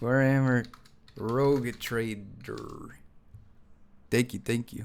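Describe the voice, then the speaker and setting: This man speaks at a very slow pace. His pitch sits in the medium range. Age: 20s. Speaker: video game streamer. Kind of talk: live gameplay stream chat. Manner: animated.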